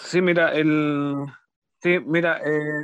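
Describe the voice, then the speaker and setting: In a dry, close sound with no echo and a quiet background, a man speaks at a fairly high pitch. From Chile, Los Ángeles, Bío Bío region. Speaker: death metal musician and teacher. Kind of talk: radio interview. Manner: halting, many repetitions and fillers.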